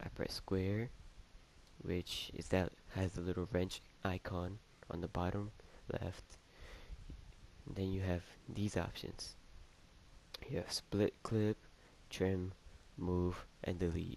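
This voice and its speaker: At a very slow pace with long, frequent pauses, the speech keeps fairly even intonation. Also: man, very deep, low pitch for a man. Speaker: gaming tutorial youtuber. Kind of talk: tutorial. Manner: casual, hesitant.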